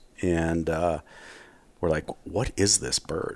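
Over a silent background in a very clean recording, a man speaks at a moderate pace with a Wisconsin accent. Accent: Upper Midwest (Wisconsin). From Wisconsin, Milwaukee area. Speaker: hunter. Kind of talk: casual interview.

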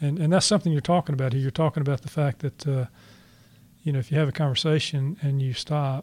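In a very clean recording with a silent background and a dry, close sound with no echo, a man talks at a very fast pace in a somewhat breathy voice. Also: fairly high pitch for a man, fairly even intonation. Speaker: podcast host and author. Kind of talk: interview conversation. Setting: studio. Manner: laid back.

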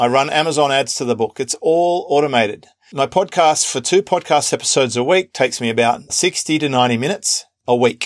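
In an Australian accent, a man speaks fairly quickly at a fairly high pitch with ordinary pitch variation and a dry, close sound with no echo. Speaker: podcast host. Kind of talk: interview.

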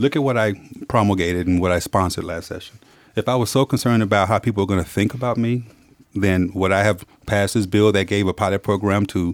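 With an American accent, a man speaks at a very fast pace. His voice is fairly low with fairly even intonation. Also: very clean recording, silent background. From Texas (Dallas), US South. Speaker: politician, state attorney general-elect. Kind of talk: interview.

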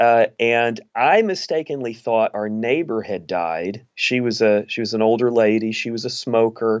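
At a moderate pace with hardly any pauses, a man with an American accent talks in an unremarkable speaking voice with ordinary pitch variation. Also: medium pitch for a man. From East Texas. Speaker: pastor and author. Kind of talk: interview.

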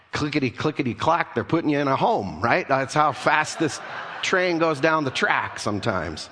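A man's fairly high voice with lively intonation, very even loudness and a moderate pace, over noticeable background noise. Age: 50s. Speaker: pastor. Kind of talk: sermon.

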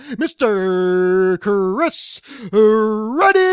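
The voice sounds female and is fairly high in pitch. It is a put-on character voice. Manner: bellowing, dramatic.

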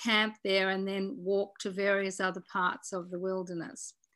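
In an Australian accent, a woman talks at a fairly slow pace with a bright, sharp tone. The recording is very clean, with a silent background. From Tasmania, Australia. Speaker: former politician and conservationist. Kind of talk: interview.

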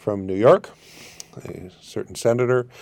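In a Canadian accent, the speaker talks at a moderate pace with a dark, mellow tone on a very clean recording with a silent background. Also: man. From Canada. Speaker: international tax and immigration advisor. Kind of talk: interview.

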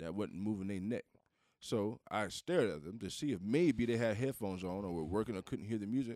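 With an American accent, a man speaks at a fairly quick pace in a fairly low pitch, his tone dark and mellow, his intonation lively, and the sound dry and close with no echo. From US Southeast. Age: middle-aged. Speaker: podcast co-host. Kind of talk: casual chat.

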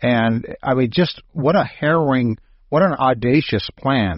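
This man has an ordinary speaking voice, pitched in the medium range, with ordinary pitch variation. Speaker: radio host. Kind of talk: radio host patter with ad read and show intro. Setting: studio. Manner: polished, upbeat announcer delivery.

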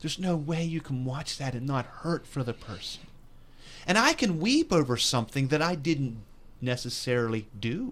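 A man speaks in a normal speaking voice, fairly high-pitched, at a moderate pace with lively intonation. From West Virginia. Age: 50s. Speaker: pastor. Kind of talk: religious discussion podcast. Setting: recorded broadcast.

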